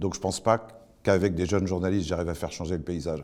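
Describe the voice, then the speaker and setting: Very deep, low pitch from a man, the tone dark and mellow. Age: 60s. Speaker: journalism school president. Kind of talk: interview. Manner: hesitant, many fillers.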